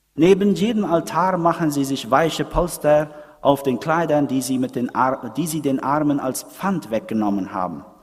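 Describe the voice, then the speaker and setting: Here is an unremarkable speaking voice from a man with fairly high pitch. He talks at a moderate pace with lively intonation. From Paraguay. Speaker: preacher. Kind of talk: sermon. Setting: church. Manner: didactic, explanatory, moves from history to pointed rhetorical question; earnest, conversational, addressing congregation as 'euch'.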